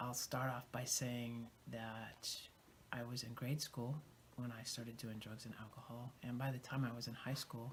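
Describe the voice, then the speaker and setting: Speaking at a moderate pace, a man with a medium pitch sounds somewhat breathy and delivers his words in a monotone, flat intonation. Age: 50s. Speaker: recovering addict sharing story. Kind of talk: testimony.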